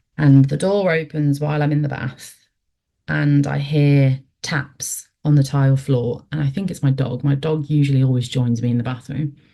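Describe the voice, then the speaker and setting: The tone is dark and mellow, with fairly even intonation. The pace is moderate. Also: woman, very deep, low pitch for a woman. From English Midlands. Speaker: paranormal experiencer. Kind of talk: storytelling.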